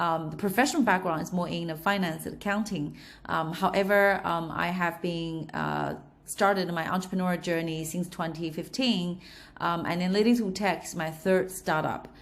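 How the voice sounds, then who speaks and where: Moderate-paced speech from a woman with a slight Australian accent, fairly low in pitch with ordinary pitch variation, in audible room echo. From China, Shanghai. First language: Chinese. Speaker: entrepreneur. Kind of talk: interview. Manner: halting, many fillers.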